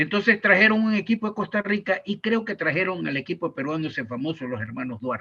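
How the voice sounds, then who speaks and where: The tone is bright and sharp. A man talks in a high pitch. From Ecuador. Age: 80s+. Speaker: sports journalist and commentator. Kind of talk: interview answer.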